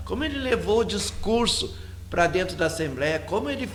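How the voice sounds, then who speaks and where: Male voice with audible room echo and noticeable background noise. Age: 60s. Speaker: radio host and religious leader. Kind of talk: casual radio talk. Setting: live web radio studio.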